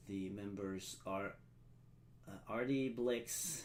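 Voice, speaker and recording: The speech goes at a very slow pace, and audible room echo can be heard. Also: man. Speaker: live stream event host. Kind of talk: live stream ceremony hosting. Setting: live stream. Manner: halting, many filler sounds.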